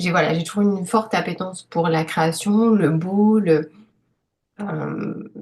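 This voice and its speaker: Her voice fairly low, a woman speaks with fairly even intonation at a very slow pace. She leaves long, frequent pauses. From Paris, France. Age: 30s. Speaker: illustrator and author. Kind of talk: interview testimony. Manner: hesitant, many fillers.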